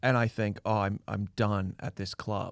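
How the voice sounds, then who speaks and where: Recorded very cleanly against a silent background, in a dry, close sound with no echo, a man with a Canadian accent speaks at a fairly low pitch and a fairly slow pace. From Canada (Ontario). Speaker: comedian. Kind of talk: casual chat. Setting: studio. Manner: loud.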